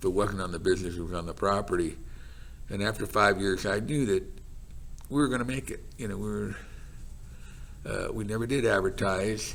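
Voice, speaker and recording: The speaker has an American accent and vocal fry, moving at a fairly quick pace. Long, frequent pauses break up speech with ordinary pitch variation. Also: man, fairly low pitch for a man. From Los Gatos, California. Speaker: retired carpet business owner. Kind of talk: oral history interview answer.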